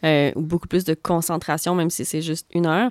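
Very fast, monotone delivery with flat intonation, dry and close with no echo, on a very clean recording with a silent background. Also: woman. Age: 30s. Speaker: podcast host. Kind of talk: casual chat. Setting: music studio. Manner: calm.

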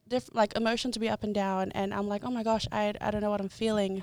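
Speaking at a moderate pace with a New Zealand accent, a woman keeps a medium pitch and a monotone, flat intonation. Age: 20s. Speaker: content creator. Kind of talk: casual chat.

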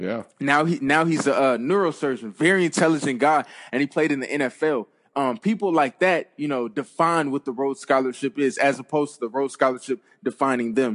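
With an unremarkable speaking voice, a man talks at a fairly quick pace and fairly high pitch, his pitch variation ordinary, over a quiet background. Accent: American. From US West Coast (Compton, Los Angeles). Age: 20s. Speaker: former college football player and author. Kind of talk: interview.

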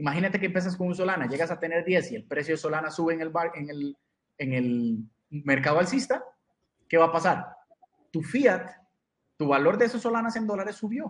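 A man talks at a high pitch and a fairly quick pace, his intonation lively. He leaves long, frequent pauses. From Costa Rica. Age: 30s. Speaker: crypto educator. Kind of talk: interview.

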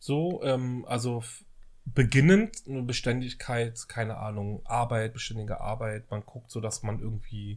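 In a very clean recording with a silent background, a man with a medium pitch speaks somewhat breathily at a fairly slow pace, his intonation fairly even. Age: 30s. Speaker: podcast co-host. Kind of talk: casual chat. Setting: home kitchen.

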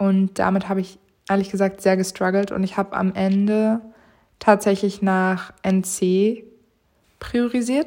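Over a very clean, silent background, a woman of medium pitch speaks in a dark, mellow tone, monotone and flat, with long, frequent pauses. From northern Germany, Mecklenburg-Vorpommern and Berlin. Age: 20s. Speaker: podcast host and law student. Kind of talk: casual solo monologue. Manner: loud, laughs a lot; unscripted, many fillers.

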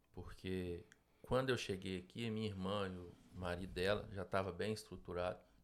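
With a Minas Gerais accent, a man speaks at a moderate pace in a very deep, low voice with fairly even intonation. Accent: Brazilian Portuguese, mineiro. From Minas Gerais, Brazil. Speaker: business owner. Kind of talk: interview. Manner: halting.

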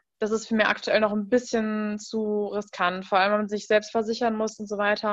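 A woman speaks at a medium pitch and a moderate pace. The background is quiet. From western Germany, Rhein-Sieg district. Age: 20s. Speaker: food blogger. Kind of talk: casual interview.

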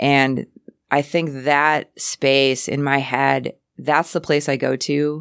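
A woman's very deep, low voice at a very slow pace with fairly even intonation, dry and close with no echo, in a very clean recording over a silent background. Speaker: artist and radio host. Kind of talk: casual interview chat. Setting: radio studio.

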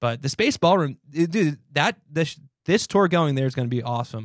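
A man's voice, dry and close with no echo, over a quiet background. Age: 30s. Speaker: musician, podcast co-host. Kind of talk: casual chat.

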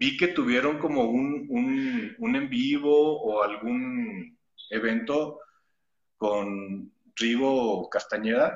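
His fairly high voice swings very widely in pitch as the man speaks. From Torreón, northern Mexico (La Laguna). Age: 30s. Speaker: stunt actor. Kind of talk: interview.

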